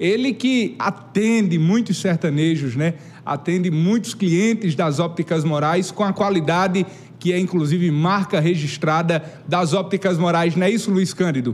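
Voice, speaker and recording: Noticeable background noise surrounds a man talking at a moderate pace. His pitch is high with ordinary variation. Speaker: TV show host. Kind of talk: live TV interview. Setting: TV studio.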